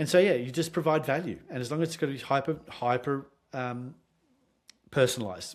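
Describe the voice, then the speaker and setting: Long, frequent pauses break up this man's speech. His pitch is fairly high, and his loudness swings a lot. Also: ordinary pitch variation, fairly quick pace. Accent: Australian. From Australia. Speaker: sales consultant. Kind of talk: podcast interview.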